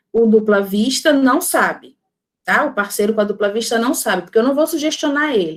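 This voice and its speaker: A woman with a fairly high pitch, lively intonation and an ordinary speaking voice. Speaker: spiritist lecturer on magnetism. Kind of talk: lecture. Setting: online talk with chat.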